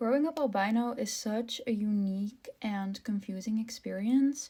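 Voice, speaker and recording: The woman's voice is fairly high in pitch, somewhat breathy, with a dark, mellow tone. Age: 20s. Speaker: content creator with albinism. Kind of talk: casual vlog monologue. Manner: hesitant, many filler ums.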